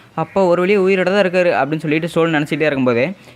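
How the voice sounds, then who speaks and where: This is a man's voice. His pitch is high. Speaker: anime recap narrator. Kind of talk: anime episode recap narration. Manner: casual, conversational.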